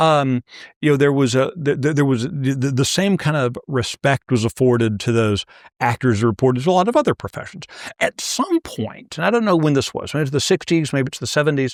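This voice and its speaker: In a dry, close recording with no echo, a man talks at a fairly quick pace in a normal speaking voice, fairly high in pitch, with lively intonation. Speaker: interviewer. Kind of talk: interview question.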